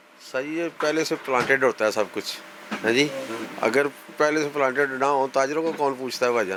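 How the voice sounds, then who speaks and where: With ordinary pitch variation and a fairly high pitch, a man talks at a moderate pace while noticeable background noise runs underneath. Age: 70s. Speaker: trader interviewed on street. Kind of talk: street interview.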